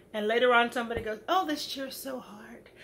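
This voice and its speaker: There is noticeable background noise behind a woman's high-pitched voice. She sounds animated, with lively intonation. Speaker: educator and motivational speaker. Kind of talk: motivational talk. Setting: home video recording.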